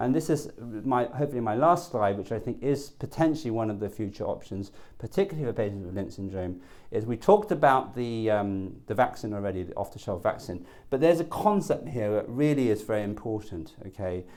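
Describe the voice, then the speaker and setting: A man's medium-pitched voice with lively intonation and a fairly quick pace, in a very clean recording over a silent background. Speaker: oncologist. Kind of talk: lecture. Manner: fast.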